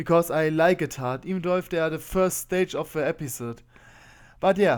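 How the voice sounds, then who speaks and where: This man speaks with a German accent in a high pitch. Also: very clean recording, silent background. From Germany. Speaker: video game content creator. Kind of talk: tutorial. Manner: fast.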